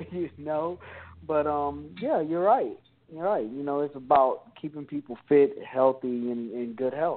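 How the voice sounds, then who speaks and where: This is a man with an ordinary speaking voice and a fairly high pitch. He speaks at a fairly slow pace with ordinary pitch variation. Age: 30s. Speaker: personal trainer. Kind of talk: casual chat.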